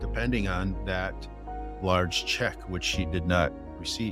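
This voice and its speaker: With music in the background, a man talks at a fairly slow pace, his pitch swinging very widely. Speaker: insurance agent. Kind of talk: casual talk to camera.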